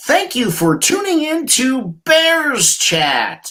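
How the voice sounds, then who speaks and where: In a put-on character voice, the speaker goes high in pitch at a very slow pace. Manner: put-on, mock-professional.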